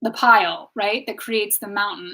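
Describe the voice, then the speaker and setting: A woman speaks loudly. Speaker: wellness teacher and tarot reader. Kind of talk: live stream talk. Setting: live stream on social media. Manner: animated.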